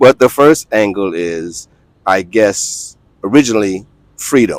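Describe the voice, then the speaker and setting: A man with an American accent speaks fairly slowly at a fairly low pitch, his intonation lively. The sound is dry and close with no echo. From New York City, Lower East Side (born South Carolina). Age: 60s. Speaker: expat YouTuber. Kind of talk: casual interview.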